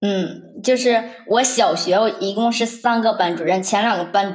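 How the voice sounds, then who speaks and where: A woman's normal speaking voice, medium in pitch, at a fairly slow pace. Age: 20s. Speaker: office worker sharing bullying story. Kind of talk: personal testimony.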